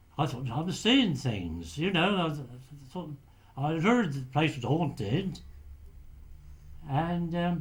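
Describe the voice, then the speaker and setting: A man speaks at a very slow pace, with long, frequent pauses. His fairly high voice has vocal fry and lively intonation. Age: 80s+. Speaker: retired lighthouse keeper, war veteran. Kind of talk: interview answer. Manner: hesitant.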